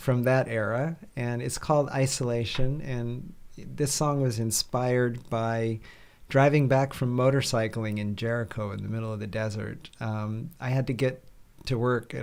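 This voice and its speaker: A man at medium pitch, moderate pace and fairly even intonation. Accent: American. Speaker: musician. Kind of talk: casual chat.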